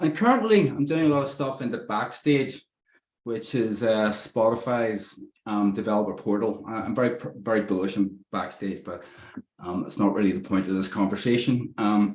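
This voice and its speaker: In an Irish accent, a man talks at a medium pitch. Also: ordinary pitch variation, moderate pace. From Ireland. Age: 50s. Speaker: software developer, presenter. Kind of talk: technical talk.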